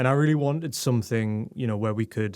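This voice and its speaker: Very clean and silent in the background, this recording features a man with a Geordie accent. He speaks at a moderate pace with a medium pitch and ordinary pitch variation. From northeast England, Newcastle. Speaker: tech communications director and newsletter editor. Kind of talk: interview. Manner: hesitant, many fillers and repeats.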